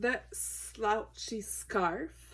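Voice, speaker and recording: A woman talks with a Quebec accent. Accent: French Canadian accent in English. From Quebec / French Canada. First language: French. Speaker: sewing tutorial creator. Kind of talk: tutorial. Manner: halting, with hesitations.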